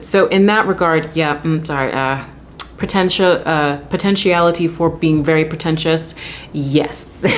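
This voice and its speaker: A woman with a fairly low pitch and ordinary pitch variation talks in an animated tone against noticeable background noise. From Jamaica. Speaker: classically trained soprano. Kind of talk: educational talk to camera. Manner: casual, animated.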